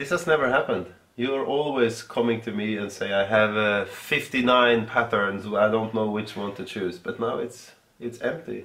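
Delivery moves at a moderate pace. The pitch shows ordinary variation. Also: man. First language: Swedish. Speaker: yarn business co-owner; podcast co-host. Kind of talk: casual chat. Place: home room.

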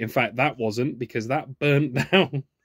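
Dry male speech without any echo. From southern England, Oxfordshire; southern England. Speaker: YouTuber. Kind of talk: unboxing video monologue. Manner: animated. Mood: curious, enthusiastic. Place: workshop. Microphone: phone near.

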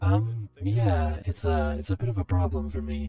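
A man puts on a character voice with a very deep, low pitch, speaking at a moderate pace. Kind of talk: in-game voice chat role play. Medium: role play. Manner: polite, hesitant, stammering.

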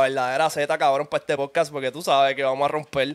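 Someone talks at a very fast pace against a quiet background. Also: man. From Puerto Rico. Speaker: podcast host. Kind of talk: casual chat. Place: home room. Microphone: studio mic.

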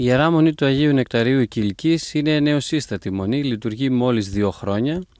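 Speaking at a moderate pace with hardly any pauses, a man keeps his loudness very even and his pitch variation ordinary, in a dry sound with no echo. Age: 30s. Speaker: abbot and priest; priest. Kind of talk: interview. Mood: calm, gentle. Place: garden. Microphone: handheld.

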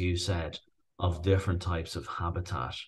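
Against a quiet background, a man with a Dublin accent sounds somewhat breathy. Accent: Irish (Dublin). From Dublin, Ireland. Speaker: rewilder, farmer and author. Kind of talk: interview answer.

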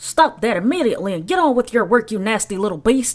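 In a put-on character voice, a female-sounding speaker talks very fast at a fairly high pitch. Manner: harsh, scolding, ordering.

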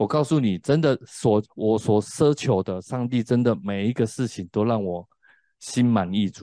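Speaking at a fairly slow pace with a Taiwanese accent, a man uses ordinary pitch variation, and the sound is dry with no echo against a quiet background. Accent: Taiwanese Mandarin. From Taiwan, Tainan. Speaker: preacher and former drug addict. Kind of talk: sermon and testimony. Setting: classroom, streamed online. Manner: hesitant, many fillers. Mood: earnest, reflective. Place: studio. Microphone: handheld.

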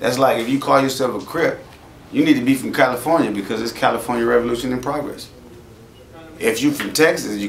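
A man talks at a very fast pace with ordinary pitch variation, amid light background noise and audible room echo. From US West Coast. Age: 40s. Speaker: rapper; interviewee. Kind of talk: interview. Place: shop.

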